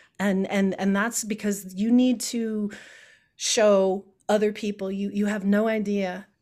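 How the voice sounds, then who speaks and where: With an American accent and a plain, everyday voice, a woman speaks at a fairly slow pace and medium pitch in a very clean recording with a silent background. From Chicago. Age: 50s. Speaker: political candidate. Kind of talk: interview.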